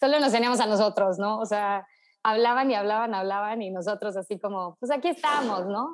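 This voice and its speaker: An ordinary speaking voice from a woman, fairly high-pitched and fairly quick, with ordinary pitch variation. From Mexico, Tuxpan, Veracruz. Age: 20s. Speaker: social entrepreneur and environmentalist. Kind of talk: casual chat.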